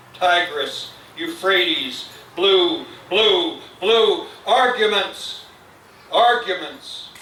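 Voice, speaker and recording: Speaking at a very slow pace with long, frequent pauses, a man swings his pitch very widely amid audible room echo and noticeable background noise. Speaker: poet. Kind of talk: poetry reading. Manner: quiet. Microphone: too quiet, mic too low.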